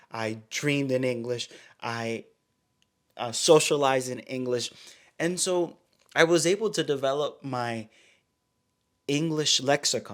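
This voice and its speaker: A man with an American accent, fairly high in pitch with ordinary pitch variation, at a fairly slow pace with long, frequent pauses. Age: young. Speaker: pastor and podcast co-host. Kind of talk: casual chat.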